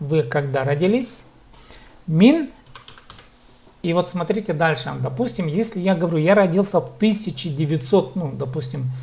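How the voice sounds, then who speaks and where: A man with a high voice speaks at a fairly slow pace with lively intonation and long, frequent pauses over noticeable background noise. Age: 30s. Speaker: language teacher. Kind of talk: online language lesson. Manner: slow, repetitive drilling.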